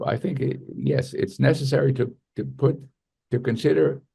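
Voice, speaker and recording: A man talks at a fairly slow pace in a medium pitch. His tone is dark and mellow, with vocal fry. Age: 70s. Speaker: neurologist and author. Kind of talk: interview. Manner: halting, self-correcting.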